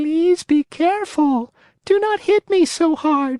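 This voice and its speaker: Put on as a character voice, this squeaky, high-pitched delivery comes at a fairly slow pace. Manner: beseeching, pleading.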